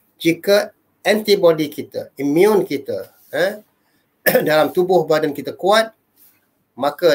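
A man's lively intonation at a very slow pace. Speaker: religious teacher. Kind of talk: lecture. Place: home room. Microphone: webcam.

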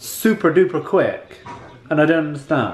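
Audible room echo and light background noise surround the audio. A man speaks at a moderate pace. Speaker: vlogger. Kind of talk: casual vlog chat. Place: home room. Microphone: phone near.

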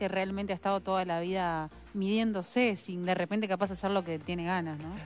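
A woman at a medium pitch, moderate pace, ordinary pitch variation, and few pauses.

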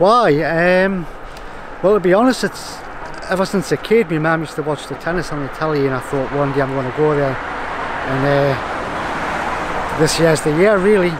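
A man with a Northumbrian accent speaks at a fairly high pitch with ordinary pitch variation. Noticeable background noise runs underneath. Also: moderate pace. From Northumberland, northern England. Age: 40s. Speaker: tennis fan in a queue. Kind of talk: street interview. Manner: halting.

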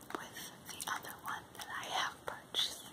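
Someone whispers at a very slow pace. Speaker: haul unboxer. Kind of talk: ASMR unboxing. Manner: whispered. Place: home room. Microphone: phone near.

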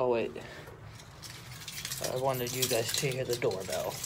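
Fairly slow speech from a man at medium pitch with ordinary pitch variation and audible room echo

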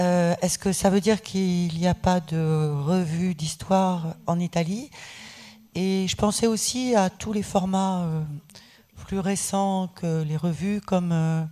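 A woman speaks at a very slow pace in a dark, mellow tone. Her intonation is fairly even. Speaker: audience member. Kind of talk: audience question. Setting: stage with audience. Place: hall. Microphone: podium.

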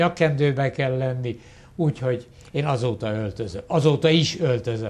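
A man's medium-pitched, somewhat breathy voice moves along at a moderate pace. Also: ordinary pitch variation. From Hungary, Pécs. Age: 70s. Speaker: retired professor. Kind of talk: interview.

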